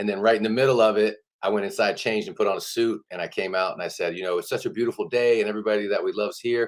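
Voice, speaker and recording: Delivered at a very fast pace in an American accent, the speech has hardly any pauses. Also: man. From Georgia, US South. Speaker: town councilman and mayoral candidate. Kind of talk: interview. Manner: casual.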